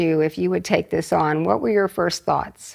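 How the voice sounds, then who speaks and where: In a normal speaking voice, a woman talks at a moderate pace with ordinary pitch variation. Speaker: retired physician, interviewer. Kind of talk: interview questions.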